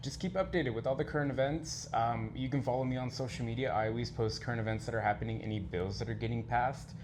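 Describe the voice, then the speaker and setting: Somewhat breathy and barely pausing, a man races along at a very fast pace amid audible room echo. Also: medium pitch for a man, ordinary pitch variation. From Texas, Mexican American family. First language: Spanish. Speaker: leather contest contestant and community educator. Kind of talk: interview.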